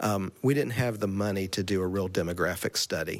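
With a Southern US accent, a man speaks at a fairly low pitch and keeps his intonation fairly even. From US South, Asheville, North Carolina. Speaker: church administrator. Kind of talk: interview. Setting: religious camp meeting.

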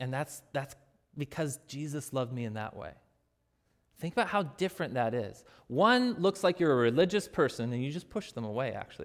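In a very clean recording with a silent background, a plain, everyday voice moves at a fairly quick pace with lively intonation. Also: man. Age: 30s. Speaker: pastor. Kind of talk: sermon.

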